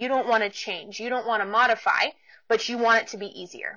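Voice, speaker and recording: A woman with an American accent and a fairly high voice talks at a fairly quick pace with ordinary pitch variation. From US Pacific Northwest, Portland, Oregon. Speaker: podcast host, business coach. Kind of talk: casual solo monologue. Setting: home office.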